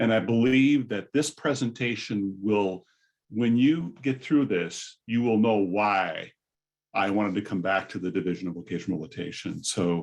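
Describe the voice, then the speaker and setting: With a General American accent, a man in an unremarkable speaking voice talks at a moderate pace and a fairly low pitch, with ordinary pitch variation, over a quiet background. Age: 60s. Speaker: vocational rehabilitation presenter. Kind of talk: conference presentation.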